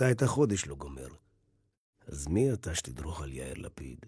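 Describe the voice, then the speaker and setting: With a very deep, low pitch and vocal fry, a man speaks at a moderate pace in a dark, mellow tone, his intonation lively and his loudness swinging widely. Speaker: voice actor / announcer. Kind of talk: satirical election campaign monologue. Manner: sarcastic, rhetorical, dramatic.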